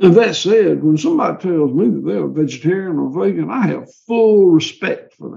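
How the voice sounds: This man has a high pitch, a dark, mellow tone and some vocal fry. His Southern US accent rides on lively intonation. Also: moderate pace.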